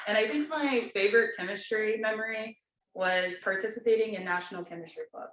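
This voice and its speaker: An ordinary speaking voice with an American accent, fairly quick pace, ordinary pitch variation and big swings in loudness. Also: woman, fairly high pitch for a woman. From Texas, Dallas. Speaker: student club officer. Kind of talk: club meeting introduction.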